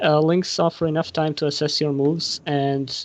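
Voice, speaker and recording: A man speaks with a non-native accent at a fairly quick pace. His pitch is fairly high. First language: not English. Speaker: Yu-Gi-Oh YouTuber on a panel. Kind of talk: casual panel discussion. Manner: halting.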